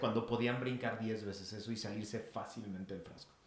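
In a room with audible echo, a man of medium pitch speaks at a moderate pace with monotone, flat intonation. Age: 40s. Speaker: podcast co-host, speaker. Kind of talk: casual chat.

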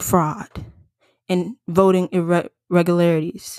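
Animated in tone, a woman talks at medium pitch in a dry, close sound with no echo. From US South, Atlanta, Georgia. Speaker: podcast host. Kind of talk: solo commentary podcast.

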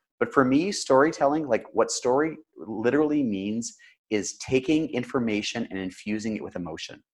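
This man has an ordinary speaking voice with a Canadian accent and medium pitch. His intonation is lively and his pace moderate. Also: very clean recording, silent background. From Canada. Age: 30s. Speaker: storytelling consultant. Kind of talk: interview.

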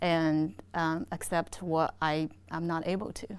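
On a very clean recording with a silent background, a woman with a Chinese accent speaks at a fairly low pitch. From China. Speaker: energy industry executive. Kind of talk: interview.

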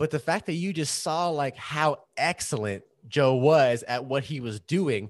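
In a normal speaking voice, a man talks with lively intonation and a fairly high pitch over a quiet background. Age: 30s. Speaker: podcast co-host, actor and video director. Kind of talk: casual chat.

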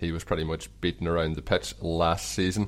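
A man with an Irish accent, very deep and low in pitch, with vocal fry, ordinary pitch variation and a very fast pace, on a very clean recording with a silent background. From Ireland. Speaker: podcast host. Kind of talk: casual interview chat. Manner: friendly, conversational.

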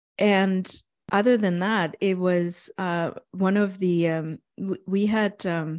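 On a very clean recording with a silent background and a dry, close sound with no echo, a woman with a German accent speaks at a fairly low pitch with fairly even intonation. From East Germany. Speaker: author and consultant. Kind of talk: interview conversation. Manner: reflective, hesitant with fillers.

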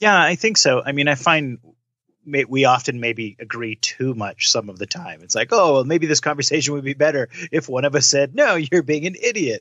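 With a normal speaking voice pitched fairly high, a man talks at a moderate pace with lively intonation. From Canada. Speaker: podcast co-host. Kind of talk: casual chat.

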